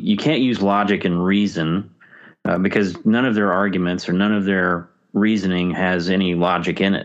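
Against a quiet background, a man talks in a plain, everyday voice at a fairly low pitch. His pace is moderate and his intonation fairly even. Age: 50s. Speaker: podcaster. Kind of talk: casual chat.

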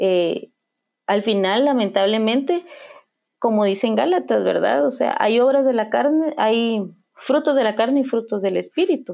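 With lively intonation and a fairly high pitch, a woman talks at a fairly slow pace. Her loudness stays very even. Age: 30s. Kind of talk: faith testimony conversation. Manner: halting, many repetitions and fillers.

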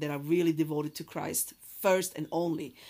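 A very clean recording with a silent background carries speech whose intonation is fairly even. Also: woman. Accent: non-native. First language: not English. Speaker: faith podcast host. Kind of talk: faith-based monologue. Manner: halting with many fillers.

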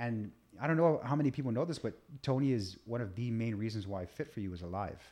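Against a quiet background, a man with an ordinary speaking voice talks at a fairly quick pace, his medium pitch showing ordinary variation. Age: 30s. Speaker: nutrition and fitness coach. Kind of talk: casual chat.

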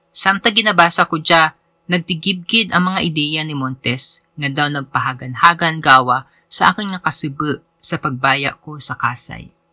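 On a very clean recording with a silent background and a dry, close sound with no echo, a man speaks with hardly any pauses, using a fairly high pitch, a bright, sharp tone and ordinary pitch variation. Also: moderate pace. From Philippines, Antique. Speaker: podcast host and writer. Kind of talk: essay read aloud.

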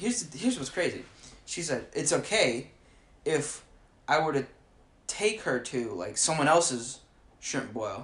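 Fairly high in pitch, a man speaks in an animated tone with very wide pitch swings. He goes at a fairly slow pace with long, frequent pauses. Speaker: podcast co-host. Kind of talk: casual chat. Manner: animated, laughing often.

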